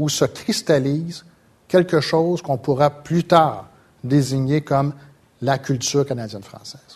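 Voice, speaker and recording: A man speaks with ordinary pitch variation. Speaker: sociology professor. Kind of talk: lecture. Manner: halting.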